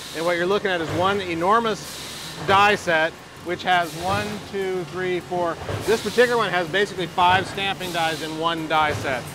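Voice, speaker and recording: With music in the background, a man speaks at a moderate pace in a high pitch. His intonation is fairly even, and the sound is dry with no echo. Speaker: company guide explaining manufacturing. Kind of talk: interview answer. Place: factory. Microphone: lapel.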